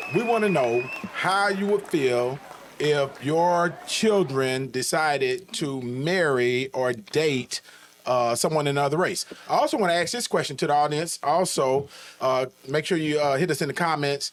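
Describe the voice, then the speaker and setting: In a plain, everyday voice of fairly high pitch, a man talks at a moderate pace with very even loudness and ordinary pitch variation. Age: 50s. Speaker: podcast host. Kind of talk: casual interview chat.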